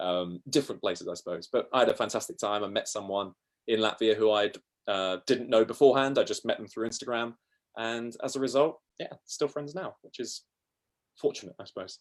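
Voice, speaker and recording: A man with a southern English accent, at a fairly quick pace, with big swings in loudness. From South East England. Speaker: travel podcaster. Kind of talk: interview storytelling.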